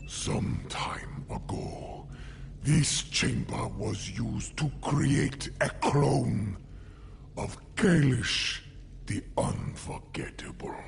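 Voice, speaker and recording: A put-on character voice speaks at a very slow pace. Clear background noise is present. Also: man. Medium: video game. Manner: grave, measured.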